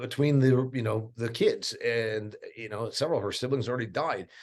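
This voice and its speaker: Animated in tone, a man talks at a moderate pace with an American accent. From US Midwest, northeast Indiana. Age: 50s. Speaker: agriculture podcast host. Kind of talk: podcast interview.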